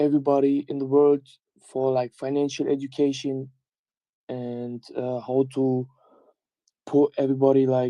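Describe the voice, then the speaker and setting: A man's medium-pitched voice with a German accent, a dark, mellow tone, monotone, flat intonation, and a fairly slow pace. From Germany. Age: 20s. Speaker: community member. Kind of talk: casual call with community. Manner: halting.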